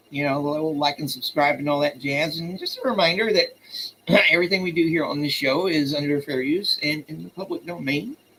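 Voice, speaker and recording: Over noticeable background noise, a man talks at a fairly high pitch and a fairly quick pace with ordinary pitch variation. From US South. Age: 50s. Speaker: poetry livestream host. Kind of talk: live stream chat. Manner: casual.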